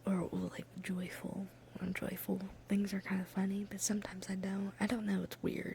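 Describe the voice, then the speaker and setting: Moderate-paced speech with an American accent, set against noticeable background noise. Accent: slight southern US, comes and goes. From Ohio. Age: 20s. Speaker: ASMR creator. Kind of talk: ASMR casual ramble. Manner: whispering.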